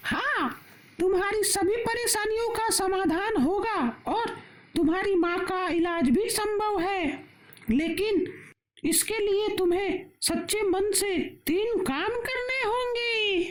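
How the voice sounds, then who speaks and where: This cartoonish character voice sits at an extremely high pitch. It moves at a very slow pace. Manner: calm, instructive.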